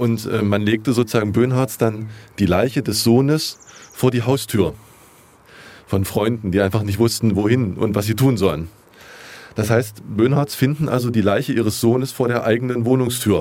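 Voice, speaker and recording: At a moderate pace with long, frequent pauses, a man speaks at a medium pitch in a dark, mellow tone, his loudness very even and his intonation fairly even. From Jena, Thuringia, eastern Germany. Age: 40s. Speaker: journalist. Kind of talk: interview. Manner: hesitant, with fillers.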